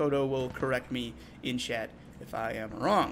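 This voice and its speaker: A man's medium-pitched voice with vocal fry, a bright, sharp tone, fairly even intonation and audible room echo. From England. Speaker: esports caster. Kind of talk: live commentary.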